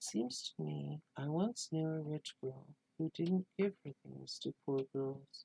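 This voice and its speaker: A soft-spoken man with a fairly high pitch speaks at a very slow pace. His voice is somewhat breathy, and the sound is dry and close with no echo. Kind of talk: storytelling reading of a Christmas tale.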